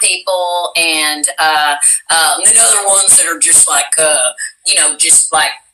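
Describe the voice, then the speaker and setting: With an American accent, a woman speaks at a fairly slow pace with ordinary pitch variation. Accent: Southern US, comes and goes, thick at times. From US South, Tennessee (Cookeville area). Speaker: voice actress. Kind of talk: casual chat.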